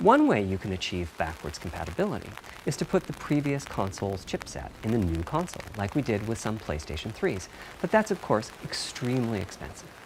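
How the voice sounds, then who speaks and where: The man's voice sits at a fairly low pitch, with very wide pitch swings and a fairly quick pace. Noticeable background noise runs underneath. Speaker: console hardware architect. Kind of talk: technical presentation.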